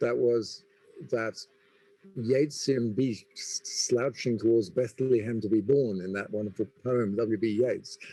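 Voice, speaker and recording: With an English accent, a man talks at medium pitch in a dark, mellow tone. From England. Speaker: business school dean. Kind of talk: panel discussion.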